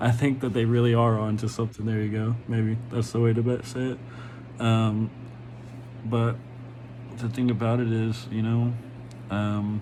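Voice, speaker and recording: A man at a moderate pace with long, frequent pauses, monotone, flat intonation, and audible room echo. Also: medium pitch for a man. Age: 30s. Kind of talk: casual monologue vlog. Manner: halting, many fillers.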